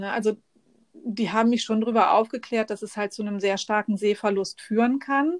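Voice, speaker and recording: In a plain, everyday voice, a woman with a fairly high pitch speaks at a moderate pace with fairly even intonation, the sound dry and close with no echo on a very clean recording with a silent background. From northern Germany, near Bremen. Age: 40s. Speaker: podcast guest with an eye disease. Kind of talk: casual interview.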